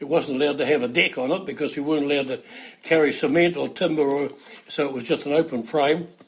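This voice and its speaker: With a New Zealand accent, a man talks fairly quickly at a fairly high pitch and fairly even intonation. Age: 80s+. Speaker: house moving pioneer. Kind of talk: interview storytelling.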